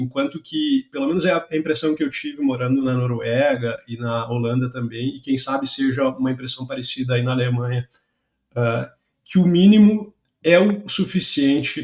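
Somewhat breathy and at medium pitch, a man speaks at a moderate pace. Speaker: podcast host, software QA engineer. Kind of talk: casual interview.

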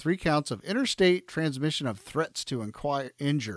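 Recorded with a dry, close sound and no echo, a man speaks in a plain, everyday voice at a fairly high pitch with lively intonation. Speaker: podcast host. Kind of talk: casual chat. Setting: video call.

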